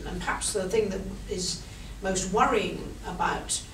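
With audible room echo and light background noise, a woman talks at a fairly slow pace. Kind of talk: formal speech, partly improvised. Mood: earnest, measured. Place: meeting room. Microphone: camera far.

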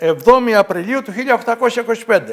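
Here a man speaks with an extremely high pitch and ordinary pitch variation. He talks at a fairly quick pace against a quiet background. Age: 70s. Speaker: local author; guest. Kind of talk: TV interview. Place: studio. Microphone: lapel.

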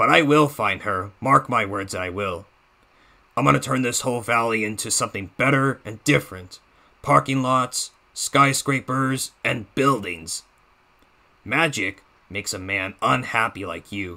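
A man's raspy, put-on character voice at a medium pitch, with lively intonation and a moderate pace. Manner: menacing, taunting.

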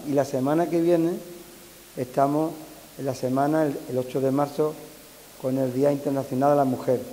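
The speech is fairly slow and delivered in a flat, monotone intonation. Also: man. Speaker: mayor. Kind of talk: ceremonial speech. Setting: stage with audience. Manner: informal, hesitant. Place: hall. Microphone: podium.

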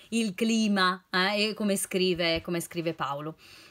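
A warm tone comes through over a quiet background. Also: woman. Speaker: nutritionist and library reading advisor. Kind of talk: poetry reading aloud, intimate and sincere, after casual chatty book-recommendation talk. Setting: home video recording during lockdown. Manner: expressive, slow and emotive when reading verses; warm, friendly, conversational. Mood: warm, cheerful. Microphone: phone near.

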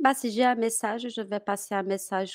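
A woman with a Portuguese accent, fairly even in intonation, against a quiet background. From Brazil. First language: Portuguese (speaking French). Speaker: French teacher. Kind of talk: interview. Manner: halting. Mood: warm, encouraging. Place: home room. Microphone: headset.

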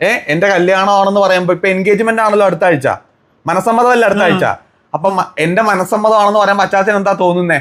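This man's voice sits high in pitch with fairly even intonation. His loudness stays very even. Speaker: vlogger. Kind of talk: casual vlog chat.

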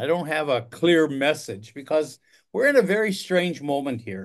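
A man's voice swings very widely in pitch against a quiet background. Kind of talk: political commentary monologue. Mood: concerned, reflective. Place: home room. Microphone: phone near.

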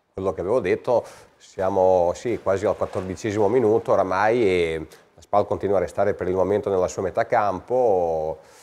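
A man speaks at a fairly quick pace. His loudness swings widely. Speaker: amateur football club official and sports commentator. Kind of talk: live sports commentary. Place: studio. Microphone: lapel.

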